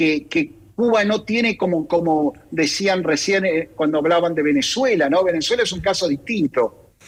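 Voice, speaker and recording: Lively intonation carries this moderate-paced delivery in an Argentine accent. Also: man, high pitch for a man. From Argentina. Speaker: think tank director. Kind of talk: radio interview. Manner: halting, many fillers and repetitions.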